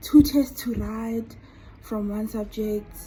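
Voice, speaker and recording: Over music in the background, a woman talks with a fairly high pitch. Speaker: student vlogger. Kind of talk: casual vlog monologue.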